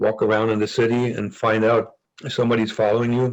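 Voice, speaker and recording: Speaking with a German accent, a man keeps a moderate pace. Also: quiet background. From East Germany. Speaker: former spy. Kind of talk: interview. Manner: halting with frequent repetitions.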